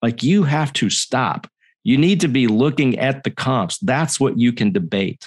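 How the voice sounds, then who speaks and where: Speaking fairly slowly with lively intonation, a man has an unremarkable speaking voice at medium pitch. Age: 50s. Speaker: design executive. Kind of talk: interview.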